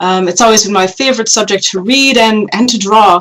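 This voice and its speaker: This woman has an unremarkable speaking voice with a Canadian accent, pitched fairly high, with ordinary pitch variation at a moderate pace. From Canada, northern Quebec. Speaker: paleoartist and web series host. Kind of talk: podcast interview.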